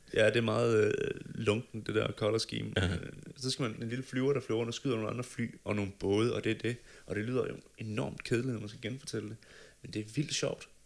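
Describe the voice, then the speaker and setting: A man talks at a fairly quick pace and a medium pitch, with vocal fry. His intonation stays fairly even. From Denmark. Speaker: podcast co-host; podcast host. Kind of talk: casual chat. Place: studio. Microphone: studio mic.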